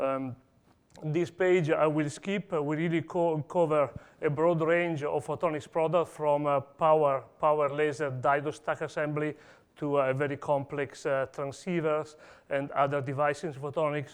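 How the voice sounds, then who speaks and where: In an Italian accent, the speaker uses monotone, flat intonation over a quiet background. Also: man, fairly high pitch for a man, moderate pace. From Italy. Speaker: industry engineer presenting at a conference. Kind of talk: conference talk. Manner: hesitant, many fillers.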